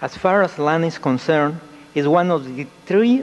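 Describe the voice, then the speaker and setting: Noticeable background noise sits behind this recording. A man with a fairly high voice speaks at a moderate pace. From Mexico. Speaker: UFO researcher. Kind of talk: conference presentation. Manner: formal.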